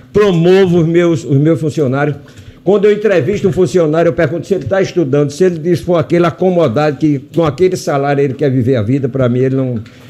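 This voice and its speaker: Over noticeable background noise, a man with a fairly high pitch talks at a very fast pace, his loudness very even and his pitch variation ordinary. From Brazil, Rio Grande do Norte (Natal). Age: 80s+. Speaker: physician and hospital director. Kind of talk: radio interview.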